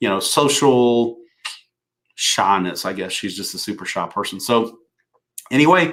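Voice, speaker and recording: A man in a Southern US accent, fairly slow with long, frequent pauses and lively intonation, in a very clean recording with a silent background. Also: medium pitch for a man. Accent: Southern drawl. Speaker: business coach. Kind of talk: live stream talk to viewers. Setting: live video broadcast. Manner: halting, many fillers and repeats.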